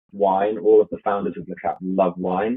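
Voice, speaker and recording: With a fairly low pitch, a man speaks at a moderate pace in a plain, everyday voice. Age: 30s. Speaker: drinks brand founder. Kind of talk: interview.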